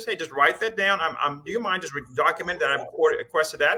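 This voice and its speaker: A man with an American accent speaks at a very fast pace in a raised, projected voice. His pitch is high, with ordinary pitch variation. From US South. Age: 60s. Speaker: rheumatologist. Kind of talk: panel Q&A.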